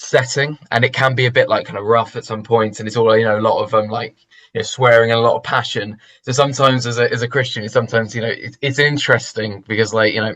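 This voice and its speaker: Against a quiet background, a bright, sharp voice with a London accent rushes along at a very fast pace in a monotone, flat intonation. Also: man, medium pitch for a man. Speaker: church member. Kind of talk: interview. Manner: halting.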